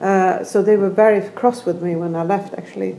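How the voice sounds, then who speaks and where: A woman with a Swedish accent and a medium pitch speaks over noticeable background noise. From Sweden. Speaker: architect and professor. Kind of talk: casual interview conversation. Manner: halting, many fillers.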